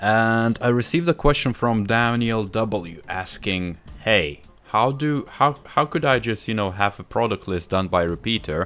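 A man talks at a fairly slow pace while faint music plays in the background. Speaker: software tutorial host. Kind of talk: tutorial.

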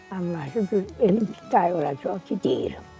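Fairly slow speech from a woman over background music. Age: 80s+. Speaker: village elder. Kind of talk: interview answer.

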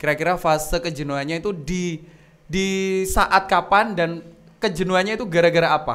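Here a man speaks at a fairly quick pace with a high pitch. His pitch variation is ordinary. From East Java, Indonesia. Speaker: podcast host. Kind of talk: casual chat. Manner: animated. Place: studio. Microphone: studio mic.

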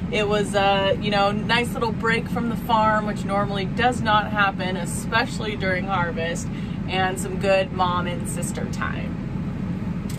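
The speech comes at a fairly slow pace over loud background noise. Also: woman. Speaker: farmer vlogger. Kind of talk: casual vlog chat. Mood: cheerful, chatty. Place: farm machine. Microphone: phone near.

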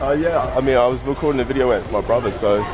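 A man is talking. Clear music plays in the background. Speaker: vlogger. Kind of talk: casual vlog chat.

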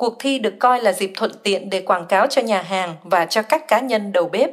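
At a fairly slow pace, a woman speaks in a plain, everyday voice, her fairly high pitch showing ordinary variation. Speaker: news reader. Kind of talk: news reading.

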